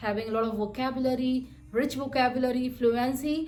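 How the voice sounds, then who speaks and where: A woman with a high pitch talks at a moderate pace, with audible room echo around her. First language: Hindi. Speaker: software developer and vlogger. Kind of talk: vlog monologue. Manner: halting.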